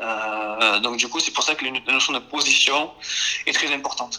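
Noticeable background noise sits under speech delivered fairly slowly. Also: man. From France, Marseille. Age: 20s. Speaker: youth football coach. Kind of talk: podcast interview.

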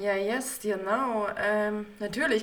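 A woman speaks at a medium pitch, with audible echo from the room. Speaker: podcast co-host. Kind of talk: casual chat.

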